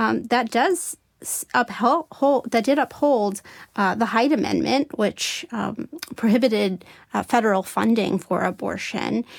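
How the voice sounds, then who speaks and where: Fairly high female voice with vocal fry and lively intonation at a fairly slow pace, in a dry, close sound with no echo. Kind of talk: interview discussion.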